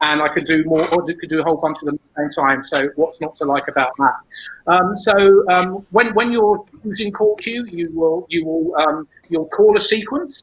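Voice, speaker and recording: With a British accent, a man talks at a moderate pace in a high pitch, his pitch varying in an ordinary way. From United Kingdom. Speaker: stage management educator. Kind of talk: conference presentation. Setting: online symposium. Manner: halting, with frequent repetitions.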